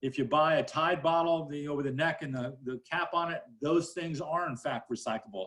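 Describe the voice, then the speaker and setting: A man's fairly high-pitched voice with ordinary pitch variation. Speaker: county solid waste official. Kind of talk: panel presentation. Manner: fast.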